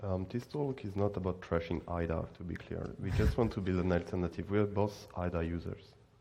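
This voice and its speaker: Very deep, low male voice with a dark, mellow tone, a fairly quick pace and hardly any pauses. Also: ordinary pitch variation. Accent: French. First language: French. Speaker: student and conference speaker. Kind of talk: conference talk.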